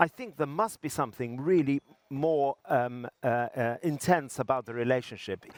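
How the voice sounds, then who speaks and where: A man with an English accent speaks at a moderate pace with fairly high pitch and ordinary pitch variation. His loudness swings widely, and the sound is dry and close with no echo. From England. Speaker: interviewer at health technology conference. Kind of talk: interview. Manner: halting, many fillers.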